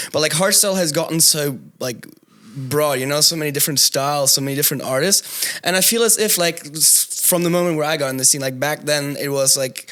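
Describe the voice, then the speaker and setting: With a German accent, a man talks at a very fast pace, his fairly high pitch showing ordinary variation. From southern Germany. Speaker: DJ. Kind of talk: casual chat.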